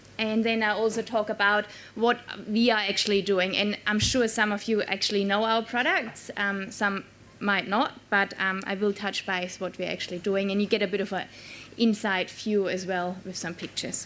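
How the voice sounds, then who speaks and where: With a German accent, a woman speaks at a medium pitch and a moderate pace in a monotone, flat intonation. Noticeable background noise runs behind her. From Germany. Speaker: quality manager at a dairy farm. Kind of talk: conference keynote talk. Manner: halting, many fillers.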